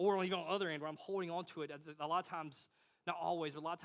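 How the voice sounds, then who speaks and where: This man talks very fast. His voice sits fairly high. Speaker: pastor. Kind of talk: sermon.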